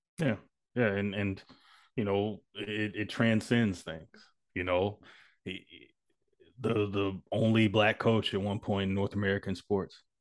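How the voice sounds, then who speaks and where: A man talks at a fairly slow pace with long, frequent pauses over a quiet background. His intonation stays fairly even while his loudness swings widely. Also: fairly low pitch for a man. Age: 30s. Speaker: podcast co-host. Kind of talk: casual chat.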